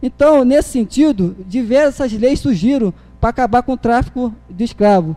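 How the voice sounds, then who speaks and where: A man speaks at a moderate pace with a dark, mellow tone and ordinary pitch variation. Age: young. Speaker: political activist; public council speaker. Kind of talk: speech at city council meeting. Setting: city council chamber. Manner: halting. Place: hall. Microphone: podium.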